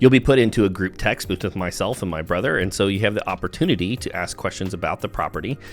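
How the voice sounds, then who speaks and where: Talking at a very fast pace, a man with an American accent has a fairly low pitch and ordinary pitch variation. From US South. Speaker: real estate agent. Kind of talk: informal video talk to camera.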